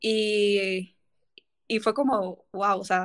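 This woman has an unremarkable speaking voice, pitched in the medium range, with fairly even intonation. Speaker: podcast host. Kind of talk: casual chat.

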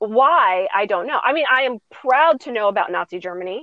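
A woman with an American accent has an ordinary speaking voice. Her pitch is fairly high and her intonation lively. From suburban US. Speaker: business coach and educator. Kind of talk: interview conversation.

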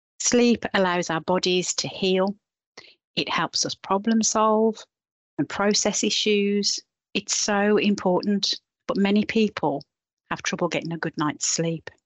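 A woman with an ordinary speaking voice talks at a fairly slow pace in a medium pitch, with ordinary pitch variation. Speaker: health visitor. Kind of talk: guided meditation. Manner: calm, soft, soothing; gentle, unhurried.

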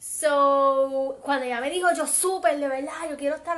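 A woman with a high pitch and an animated tone. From Puerto Rico, west (Aguadilla). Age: 20s. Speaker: podcast co-host, host's cousin. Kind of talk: casual chat.

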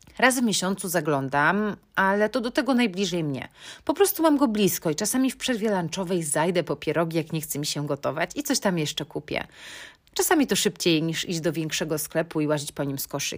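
It is an unremarkable speaking voice on a very clean recording with a silent background. A woman talks at a fairly quick pace in a fairly low pitch with lively intonation. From Poland, Bydgoszcz. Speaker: podcast host. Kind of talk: casual solo podcast monologue.

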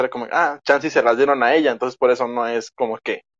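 Against a quiet background, a man with a Mexican accent speaks fairly quickly with ordinary pitch variation in a dry, close sound with no echo. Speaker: podcast guest. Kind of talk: casual chat. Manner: fast.

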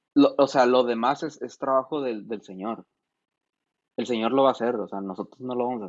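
A man with a plain, everyday voice talks at a medium pitch and a fairly quick pace. His intonation stays fairly even, though his loudness swings widely. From San Felipe, Baja California, Mexico. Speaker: musician and producer. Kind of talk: casual chat.

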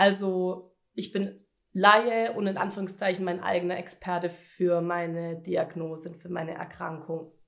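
A woman talks at a fairly slow pace and a medium pitch. Her intonation is monotone and flat. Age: 20s. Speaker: cancer patient podcaster. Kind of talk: personal testimony monologue. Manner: casual, many fillers.

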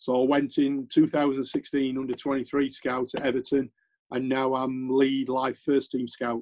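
With a Sheffield accent, a man talks fairly slowly in a medium pitch, his intonation monotone and flat. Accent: Yorkshire (Sheffield) English. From Yorkshire, Sheffield. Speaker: former footballer and scout. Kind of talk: interview.

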